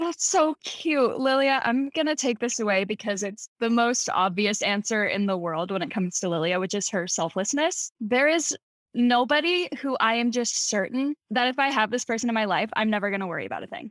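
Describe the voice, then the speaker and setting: A woman speaks in a normal speaking voice at a fairly quick pace, with hardly any pauses. Her pitch sits fairly high, her intonation is lively, and the sound is dry and close with no echo. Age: 20s. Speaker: actress. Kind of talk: casual chat.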